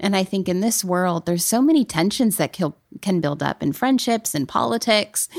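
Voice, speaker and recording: In an unremarkable speaking voice, a woman of medium pitch talks at a fairly quick pace with ordinary pitch variation, in a very clean, silent-background recording with a dry, close sound and no echo. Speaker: podcast co-host. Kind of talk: casual chat. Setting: studio.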